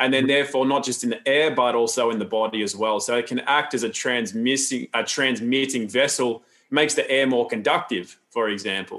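A man with an Australian accent talks at a fairly quick pace with hardly any pauses, a medium pitch, and ordinary pitch variation. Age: 40s. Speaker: health educator and seminar founder. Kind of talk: interview conversation. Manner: calm, grounded.

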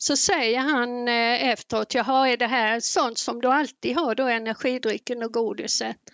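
Pitched high, a woman talks with fairly even intonation and hardly any pauses, in a dry, close sound with no echo. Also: moderate pace. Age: 60s. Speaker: retired nurse and gamer. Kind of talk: casual chat.

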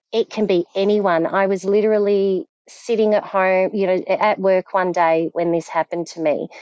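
A woman talks with a strong Australian accent at a medium pitch. Her pace is moderate and her intonation fairly even. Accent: broad Australian. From Australia, Victoria (Frankston). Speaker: survivor of domestic abuse, ex-wife of offender. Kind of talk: testimony.

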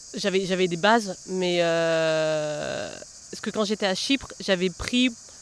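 A woman's voice with noticeable background noise. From southern France (Massif central, Lozère). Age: 30s. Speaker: journalist and novelist. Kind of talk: casual interview. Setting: outdoors in a botanical garden.

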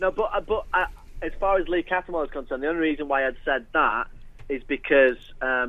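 Using a plain, everyday voice, a man talks at a fairly quick pace with ordinary pitch variation. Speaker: Sunderland broadcaster. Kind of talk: casual football chat. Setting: phone call.

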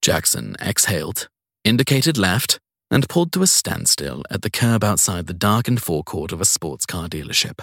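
A man's fairly bright tone carries a slightly husky edge in a dry, close sound with no echo. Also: very clean recording, silent background.

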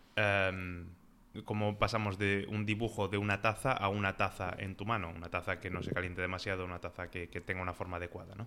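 Speaking very fast in a fairly low pitch, a man has a bright, sharp tone and a monotone, flat intonation. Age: 20s. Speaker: service designer. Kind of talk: interview.

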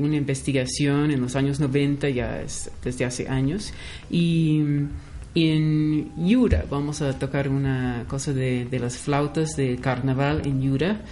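A woman's very deep, low voice at a very slow pace, with audible room echo. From US West Coast (Los Angeles). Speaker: anthropologist and music researcher. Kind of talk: radio interview.

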